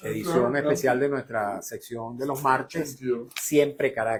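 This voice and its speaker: This man has an ordinary speaking voice, medium in pitch, and talks at a moderate pace. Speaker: radio host and journalist. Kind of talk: radio show sign-off. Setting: radio studio.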